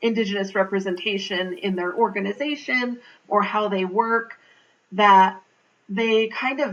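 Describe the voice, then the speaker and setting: A woman talks in a normal speaking voice at a moderate pace. Her pitch is medium, with ordinary pitch variation. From Navajo Nation, Northern Arizona. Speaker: public health leader. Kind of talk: interview answer.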